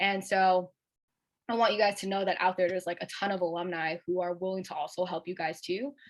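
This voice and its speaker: The delivery is fairly quick, with fairly even intonation. The background is quiet. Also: woman, medium pitch for a woman. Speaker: alumni workshop speaker. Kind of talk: workshop talk. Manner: fast; casual, many filler words.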